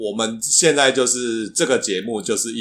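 A man with a Taiwanese accent, medium pitch, lively intonation and a moderate pace. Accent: Taiwanese-accented Mandarin. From Taiwan, Tainan. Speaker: podcast co-host. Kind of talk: casual chat.

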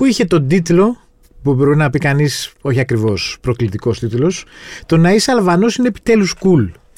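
Speaking at a fairly quick pace, a high-pitched man uses lively intonation. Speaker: podcast host, journalist. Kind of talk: podcast interview.

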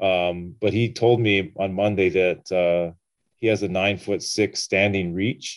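A man's fairly low voice holds fairly even intonation and very even loudness. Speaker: sports reporter. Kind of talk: interview. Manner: low-key, even.

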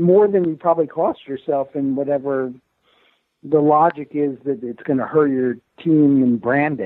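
A man speaks in an unremarkable speaking voice, pitched fairly high. His pitch varies in an ordinary way. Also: moderate pace. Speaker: sports columnist. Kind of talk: casual interview chat about sports.

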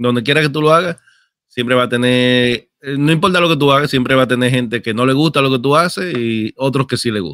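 Medium in pitch with ordinary pitch variation, a man with an unremarkable speaking voice talks at a moderate speed. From outside Dominican Republic. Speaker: gaming content creator. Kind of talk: casual chat.

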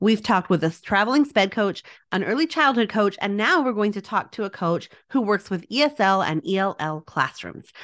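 An unremarkable speaking voice, a woman talks at medium pitch and a fairly quick pace with lively intonation over a quiet background. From Texas. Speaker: podcast host and instructional coach. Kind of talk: interview chat, with scripted promo reads.

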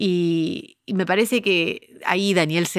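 Against a silent background on a very clean recording, a woman talks. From United States, Uruguayan family. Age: 40s. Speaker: podcast producer and company founder. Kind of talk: casual interview conversation.

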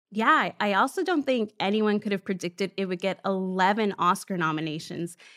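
This woman has a plain, everyday voice at medium pitch, talking at a moderate pace with ordinary pitch variation on a very clean recording with a silent background. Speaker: podcast co-host. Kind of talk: scripted podcast intro and credits.

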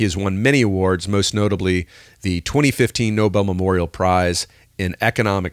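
In a very clean recording with a silent background and a dry, close sound with no echo, a man with an ordinary speaking voice talks fairly quickly at a fairly low pitch. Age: 50s. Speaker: podcast host and stand-up comedian. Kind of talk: scripted podcast intro. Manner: jokey, upbeat.

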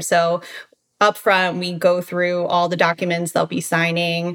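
A woman with an American accent, a fairly low pitch, monotone, flat intonation and a fairly slow pace. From Baltimore, Maryland. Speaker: real estate agent. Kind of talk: interview.

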